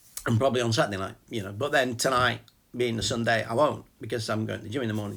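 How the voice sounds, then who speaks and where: In a very fast delivery, a man shows vocal fry, medium pitch and fairly even intonation. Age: 50s. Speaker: vlogger and small business owner. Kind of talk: casual chat. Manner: rambling, halting with repetitions.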